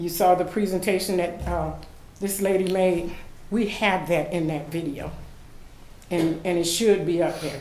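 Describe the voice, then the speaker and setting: Someone with an American accent speaks at a moderate pace, with audible room echo. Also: woman. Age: 60s. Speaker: public commenter at city meeting. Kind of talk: public comment at meeting. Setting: city commission meeting.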